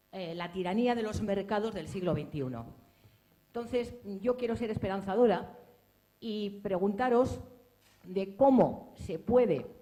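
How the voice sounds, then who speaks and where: Heard with audible room echo, a woman at a medium pitch talks fairly slowly with long, frequent pauses. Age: 60s. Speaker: audience member asking a question. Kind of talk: audience question at book presentation.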